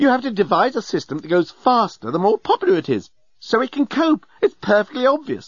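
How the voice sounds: A put-on character voice from a man, high-pitched with a slightly husky edge and big pitch swings, at a fairly quick pace, dry and close with no echo.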